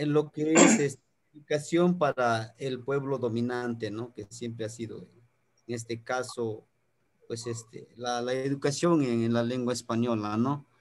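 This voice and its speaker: This man speaks with a Mexican accent. His pace is fairly slow. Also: medium pitch for a man, fairly even intonation. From Mexico, highlands of Guerrero. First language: Nahuatl (speaking Spanish). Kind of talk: online talk, lecture. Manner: halting, many fillers.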